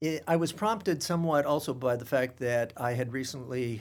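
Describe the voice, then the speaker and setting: Medium-pitched male speech in a Californian accent, moderate in pace, with ordinary pitch variation. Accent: Californian American. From Stockton, California. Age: 50s. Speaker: museum director. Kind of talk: interview.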